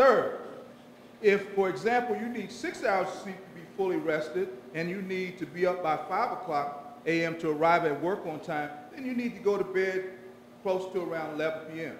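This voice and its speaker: Here a man talks at a high pitch with ordinary pitch variation and big swings in loudness. Audible room echo and noticeable background noise fill the recording. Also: moderate pace. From Washington DC. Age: 60s. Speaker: retiring federal government employee. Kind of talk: retirement speech.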